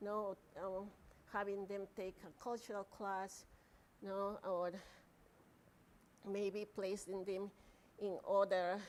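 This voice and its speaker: A woman speaks at a very slow pace, leaving long, frequent pauses. Her medium-pitched voice keeps a monotone, flat intonation. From Peru. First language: Spanish. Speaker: professor. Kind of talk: lecture Q&A. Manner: halting.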